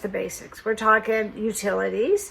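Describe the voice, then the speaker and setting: She has a plain, everyday voice and a fairly high pitch. This woman keeps a moderate pace. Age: 60s. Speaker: lifestyle vlogger. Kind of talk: personal vlog, partly read from script.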